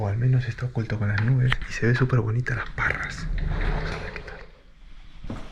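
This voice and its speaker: This man talks at a moderate pace in a medium pitch with fairly even intonation. There is noticeable background noise. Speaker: travel vlogger. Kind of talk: travel vlog narration. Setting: hotel room. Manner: quiet, speaking softly.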